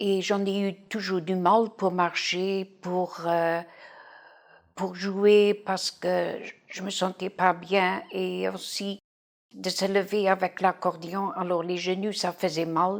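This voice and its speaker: A woman talks at a very slow pace in a medium pitch. Her intonation is monotone and flat. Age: 60s. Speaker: patient. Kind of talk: testimony. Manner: halting.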